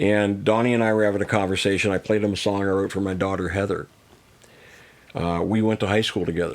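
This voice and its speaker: In an American accent, a man speaks with a very deep, low pitch and flat, monotone intonation. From US, Missouri and Las Vegas area. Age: 60s. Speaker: singer-songwriter and coach. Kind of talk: casual chat.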